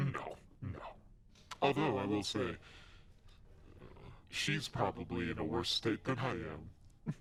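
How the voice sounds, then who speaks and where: A put-on character voice in a smug, amused tone, at a fairly slow pace with long, frequent pauses, over clear background noise. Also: man, fairly low pitch for a man. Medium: actual play. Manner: smug, mocking, amused.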